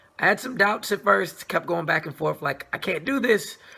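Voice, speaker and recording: A man is speaking. His tone is animated. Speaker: movie reviewer. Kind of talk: casual review monologue.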